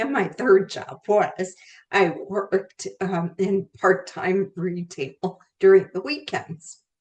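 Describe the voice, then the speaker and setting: A woman with a medium pitch talks at a very slow pace, her pitch varying in an ordinary way while her loudness swings widely. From India, raised in US from grade school. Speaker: career therapist and author. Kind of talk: interview.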